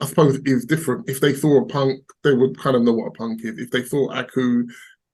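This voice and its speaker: A man with an English accent, medium pitch, ordinary pitch variation and a fairly quick pace. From England. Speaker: crypto investor. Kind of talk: casual interview. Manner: hesitant, repetitive.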